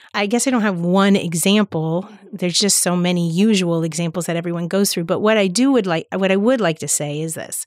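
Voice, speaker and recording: A woman's ordinary speaking voice with an American accent, medium in pitch with ordinary variation, at a fairly quick pace with hardly any pauses. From US, South Florida (Palm Beach County). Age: 50s. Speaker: teacher. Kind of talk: casual chat.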